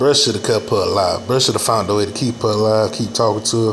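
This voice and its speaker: A man with a fairly low voice speaks at a moderate pace, with noticeable background noise and audible room echo. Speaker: reaction video commentator. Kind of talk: casual reaction commentary.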